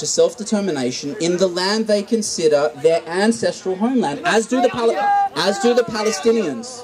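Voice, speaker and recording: A high-pitched man's voice with an Australian accent, lively intonation and a moderate pace, set against noticeable background noise. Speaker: audience member at protest dialogue. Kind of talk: heated debate. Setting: public gathering with microphone. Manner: animated.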